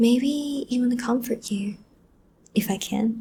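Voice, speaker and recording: A soft-spoken woman talks very slowly in a dark, mellow tone at a fairly high pitch. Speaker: voice actor / audio creator. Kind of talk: soft-spoken comforting talk to the listener, ASMR-style. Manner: soft, calming, consoling.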